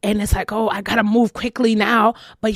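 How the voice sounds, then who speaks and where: At a moderate pace, a woman speaks at a fairly high pitch. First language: not English. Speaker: spiritual podcast host. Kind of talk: motivational podcast talk. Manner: repetitive, informal and emphatic; halting at times.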